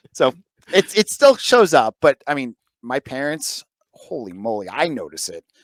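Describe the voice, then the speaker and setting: A man with an American accent speaks at a fairly high pitch and a moderate pace, his pitch swinging very widely. His loudness rises and falls sharply, and the sound is dry and close with no echo. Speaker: sports podcast host. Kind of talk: casual chat.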